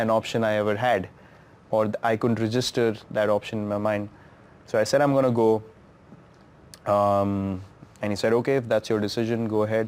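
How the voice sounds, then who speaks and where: Delivered at a moderate pace with an Indian accent, the speech is monotone and flat, broken by long, frequent pauses. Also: man. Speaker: cricketer. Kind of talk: interview answer. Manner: reflective, emotional.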